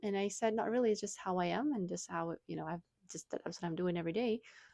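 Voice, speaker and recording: The speech carries a Russian accent with ordinary pitch variation. The sound is dry and close with no echo, over a quiet background. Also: woman. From Russia (Moscow). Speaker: wellness blogger. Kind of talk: casual vlog talk. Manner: hesitant, many fillers.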